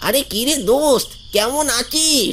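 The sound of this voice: A high-pitched, cartoonish character voice comes through over clear background noise.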